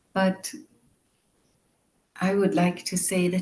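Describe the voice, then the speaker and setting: Monotone, flat delivery from a woman with a European accent, medium-pitched, somewhat breathy and dark and mellow in tone, at a fairly slow pace. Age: 50s. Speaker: meditation teacher. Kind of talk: guided meditation introduction. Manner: calm, gentle.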